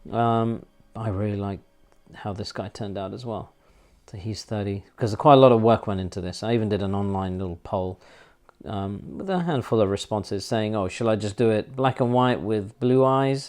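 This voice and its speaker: A man with a London accent talks at a moderate pace in a fairly low voice, with ordinary pitch variation and big swings in loudness. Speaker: artist. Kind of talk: casual chat. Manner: hesitant, many fillers.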